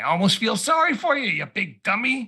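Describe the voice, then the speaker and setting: Putting on a character voice, a man speaks at a fairly quick pace with an extremely high pitch. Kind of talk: gruff, mocking. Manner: muttering.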